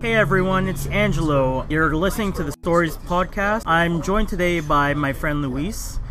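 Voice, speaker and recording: A man talks at a moderate pace with ordinary pitch variation. There is audible room echo and noticeable background noise. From Philippines. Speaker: podcast host. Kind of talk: casual chat.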